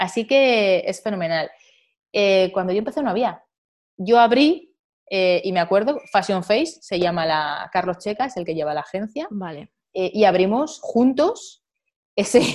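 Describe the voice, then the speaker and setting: A woman's medium-pitched, lively voice at a fairly slow pace, a plain, everyday voice. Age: 40s. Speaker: model and journalist. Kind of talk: interview conversation.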